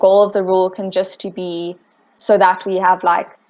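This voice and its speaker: A woman with a slight British accent talks at a moderate pace in a medium pitch. Her intonation is monotone and flat, against a quiet background. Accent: slight British-sounding. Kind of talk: casual meeting chat. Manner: casual, filler-heavy.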